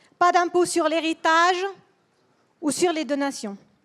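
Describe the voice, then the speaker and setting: With a non-native accent, a woman of extremely high pitch speaks very slowly with ordinary pitch variation. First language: Swedish (speaking French). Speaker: politician. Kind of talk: political speech. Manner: halting.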